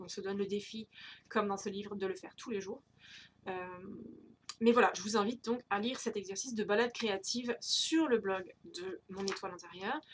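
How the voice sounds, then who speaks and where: A woman's somewhat breathy voice at medium pitch, fairly quick, with big swings in loudness, long and frequent pauses, and ordinary pitch variation. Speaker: tarot and creativity YouTuber. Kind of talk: casual monthly update vlog. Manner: hesitant, many fillers.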